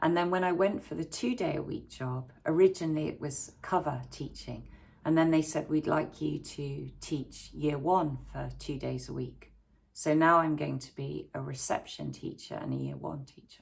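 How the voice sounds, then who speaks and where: A woman with an English accent talks at a moderate pace, her loudness swinging widely. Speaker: YouTuber and primary school teacher. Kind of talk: casual talk to camera. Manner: hesitant, many fillers.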